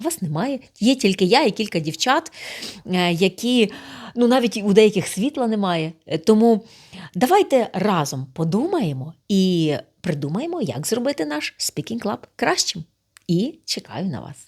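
A woman speaks at a fairly slow pace in a medium-pitched voice, her pitch swinging very widely. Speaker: speaking club host. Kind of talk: direct address to camera, video appeal.

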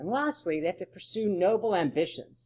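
A man's high voice with lively intonation at a fairly quick pace, against a quiet background. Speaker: presenter. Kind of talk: lecture. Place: home room. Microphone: webcam.

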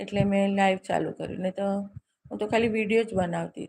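A woman in an unremarkable speaking voice, medium in pitch, with ordinary pitch variation. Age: 60s. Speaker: live-stream host. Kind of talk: casual live-stream chat with viewers.

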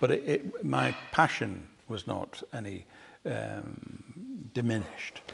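Here a man speaks at a very slow pace. Light background noise can be heard. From South Manchester, England; England. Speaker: painter; interviewee. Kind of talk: public conversation. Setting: artist's studio with live audience. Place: workshop.

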